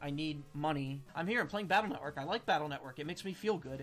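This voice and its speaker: Faint music plays in the background as the speech rushes by at a very fast pace. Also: man. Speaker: game streamer. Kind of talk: casual gameplay commentary.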